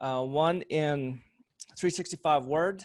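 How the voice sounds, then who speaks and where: A man speaks at a fairly slow pace in a fairly high pitch with ordinary pitch variation, over a quiet background. He has an ordinary speaking voice. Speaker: computer instructor. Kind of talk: tutorial. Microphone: webcam.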